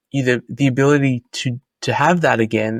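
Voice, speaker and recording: A man speaks in an Australian accent at a moderate pace, with medium pitch and fairly even intonation. The sound is dry and close with no echo, on a very clean recording with a silent background. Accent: Australian, kept after 25 years in US. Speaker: Bitcoin author and commentator. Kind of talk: podcast interview.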